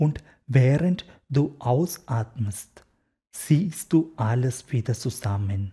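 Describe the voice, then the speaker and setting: A man speaks at a very slow pace in a dark, mellow, somewhat breathy tone with lively intonation, on a very clean recording with a silent background. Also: medium pitch for a man. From India, Kerala. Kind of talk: interview; guided meditation. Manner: halting.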